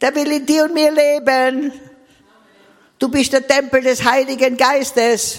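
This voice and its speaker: A woman's high-pitched voice. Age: 80s. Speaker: preacher. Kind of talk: sermon.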